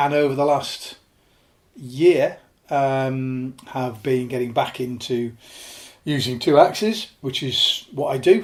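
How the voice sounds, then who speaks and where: At a very slow pace, the speaker talks with a northern English accent. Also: man, medium pitch for a man, ordinary pitch variation. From northern England, Lake District (born Yorkshire). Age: 50s. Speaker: alpinist. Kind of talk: interview podcast conversation. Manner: halting with many fillers.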